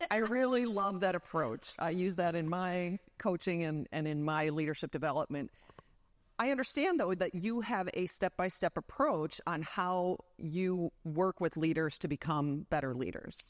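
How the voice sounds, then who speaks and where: A woman with an unremarkable speaking voice talks at a moderate pace with lively intonation and fairly low pitch. The sound is dry and close, with no echo. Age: 50s. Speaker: talk show co-host and coach. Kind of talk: interview.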